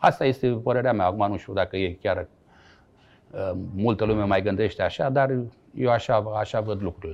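Pitched fairly low, a man talks at a moderate pace. His pitch varies in an ordinary way. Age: 60s. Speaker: former footballer and coach. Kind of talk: interview. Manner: halting.

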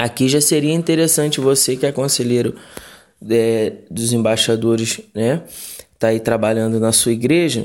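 A man talks at a moderate pace in a medium-pitched voice with ordinary pitch variation. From Rio de Janeiro, Brazil. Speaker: pastor. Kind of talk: recorded Bible study. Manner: halting, with fillers.

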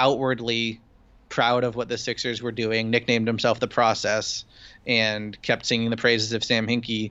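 Speaking monotone and flat, a man holds a medium pitch at a moderate pace. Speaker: sports journalist. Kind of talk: casual chat.

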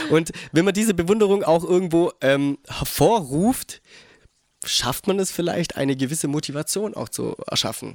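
With a high pitch, a man talks at a moderate pace and ordinary pitch variation. The sound is dry and close with no echo. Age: 20s. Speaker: skateboarder and office clerk. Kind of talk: casual chat. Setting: host's living room.

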